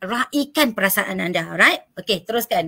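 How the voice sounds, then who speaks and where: A woman projects a raised voice with a bright, sharp tone and very wide pitch swings. She speaks at a fairly slow pace over a quiet background. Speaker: panel speaker on work-life balance; speaker. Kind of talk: talk show presentation. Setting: online live stream. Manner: loud. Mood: warm, encouraging. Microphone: webcam.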